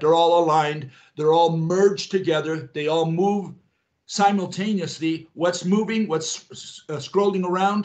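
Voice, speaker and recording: A man talks in an ordinary speaking voice at a fairly high pitch. The pace is moderate, with ordinary pitch variation. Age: 60s. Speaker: physics theorist. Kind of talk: interview.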